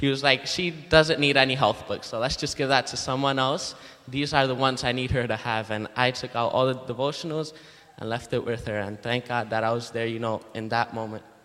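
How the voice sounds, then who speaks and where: Speaking at a fairly quick pace, a man uses a medium pitch with fairly even intonation. Noticeable background noise is present. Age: young. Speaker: student book canvasser. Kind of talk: testimony. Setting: church.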